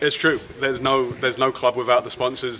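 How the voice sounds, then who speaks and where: The speaker is a man with monotone, flat intonation. Noticeable background noise runs underneath. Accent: London. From London, England. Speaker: football club general manager. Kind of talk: interview. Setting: outdoors at training field.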